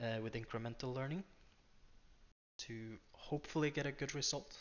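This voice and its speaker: A man with a Norwegian accent, medium in pitch, with ordinary pitch variation at a moderate pace. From Norway. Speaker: day trader. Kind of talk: screen-share tutorial. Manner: unscripted, hesitant with fillers.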